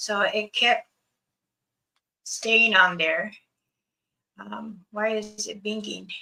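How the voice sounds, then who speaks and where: Using an American accent, a woman speaks at a very slow pace with long, frequent pauses and big swings in loudness. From Blackfoot reservation, northern US Rockies. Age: 60s. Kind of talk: video call interview.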